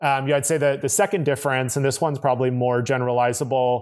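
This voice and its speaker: Very fast, a man speaks at a medium pitch with fairly even intonation. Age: 30s. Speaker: tech company executive, former management consultant. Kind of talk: interview. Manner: hesitant, many fillers.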